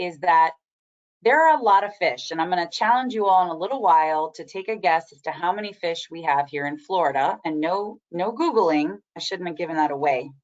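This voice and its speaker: Lively intonation colors a woman's an ordinary speaking voice, pitched at medium. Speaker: marine extension agent presenting a webinar. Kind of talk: webinar lecture. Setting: online webinar.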